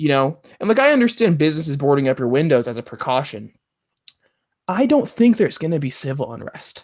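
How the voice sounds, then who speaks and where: Talking very fast with an American accent, a man lets his pitch swing very widely. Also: fairly high pitch for a man. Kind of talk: podcast conversation. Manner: casual, hesitant.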